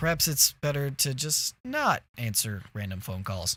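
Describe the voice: Lively intonation marks this plain reading aloud.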